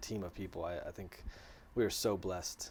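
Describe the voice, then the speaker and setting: A man at a fairly low pitch and a very fast pace, in a very clean recording with a silent background. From US, Washington DC area. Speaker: pastor. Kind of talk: interview. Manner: halting.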